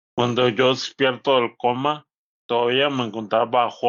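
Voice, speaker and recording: Speaking fairly slowly, a man keeps to a medium pitch. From northern Mexico. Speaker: stroke survivor. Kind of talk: interview. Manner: uneven volume and pace.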